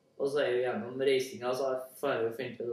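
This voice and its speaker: A man talks at a fairly quick pace, with audible room echo around him. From Central Norway (Trøndelag). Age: young. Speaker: language learning speaker. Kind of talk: casual spoken monologue for listening practice. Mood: relaxed, friendly. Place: home room. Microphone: camera far.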